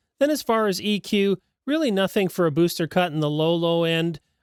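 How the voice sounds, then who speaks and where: Recorded very cleanly against a silent background, the voice moves at a moderate pace with ordinary pitch variation and a dry, close sound with no echo. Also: man. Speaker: microphone reviewer. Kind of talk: tutorial.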